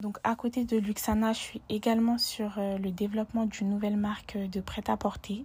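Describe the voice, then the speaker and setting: A woman with a somewhat breathy, fairly high voice speaks at a moderate pace in a monotone, flat intonation with hardly any pauses. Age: 20s. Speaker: student and personal shopper business founder. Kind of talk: casual interview.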